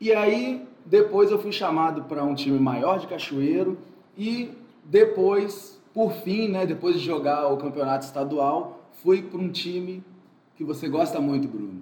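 A man speaks at a fairly slow pace with a high pitch and lively intonation. Noticeable background noise and audible room echo surround him. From Espírito Santo, Brazil (Muqui). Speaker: physical education teacher. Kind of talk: casual interview.

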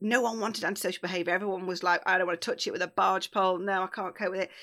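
On a very clean recording with a silent background, a woman speaks at a medium pitch with fairly even intonation and a bright, sharp tone. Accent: East Midlands. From Derbyshire, England (Bakewell). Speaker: charity victim support manager. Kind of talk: interview conversation.

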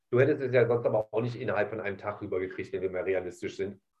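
Somewhat breathy and dark, mellow in tone, this man's medium-pitched voice stays monotone, with flat intonation. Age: 40s. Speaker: podcast host. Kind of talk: casual chat.

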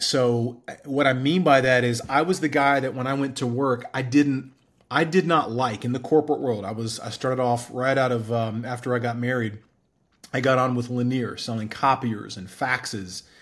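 Speaking with fairly even intonation at medium pitch, a man with a plain, everyday voice keeps a moderate pace. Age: 40s. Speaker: entrepreneur. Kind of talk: interview.

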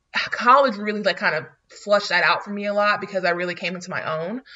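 In a normal speaking voice, a woman with an American accent talks at a fairly quick pace and medium pitch, with fairly even intonation. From North Florida small town. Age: 20s. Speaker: podcast co-host. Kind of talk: casual chat.

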